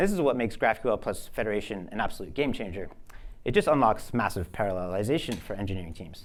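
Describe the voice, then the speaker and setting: A man's fairly low voice at a very fast pace, with lively intonation and audible room echo. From US Northeast, New Jersey. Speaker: software engineer and product speaker. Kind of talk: conference talk. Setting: stage with audience.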